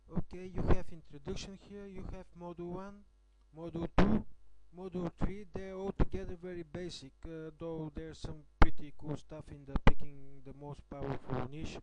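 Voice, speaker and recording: A man's high-pitched voice in a non-native accent, moderate pace, fairly even intonation, and big swings in loudness. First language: not English. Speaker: affiliate marketer reviewing a course. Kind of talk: screen-recorded product review walkthrough. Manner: hesitant, many filler sounds.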